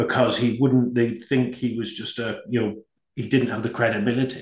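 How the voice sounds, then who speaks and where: A man's somewhat breathy, medium-pitched voice with a British accent. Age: 50s. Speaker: business executive. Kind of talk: interview.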